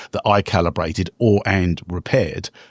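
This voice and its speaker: A man with a London accent is heard on a very clean recording with a silent background. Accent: British (London), retained. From London, England. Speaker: real estate investor and entrepreneur. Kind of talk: podcast interview.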